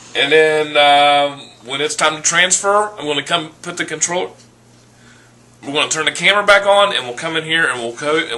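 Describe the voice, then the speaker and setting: Noticeable background noise sits behind a man speaking at a fairly quick pace. His pitch is fairly high and his loudness swings a lot. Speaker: cooking video host. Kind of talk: casual cooking vlog chat. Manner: rambling, casual.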